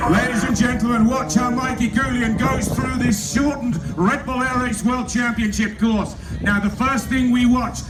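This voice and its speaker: A man with an English accent speaks at an extremely high pitch and very even loudness, with audible room echo and noticeable background noise. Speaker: air show announcer. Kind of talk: live commentary. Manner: animated.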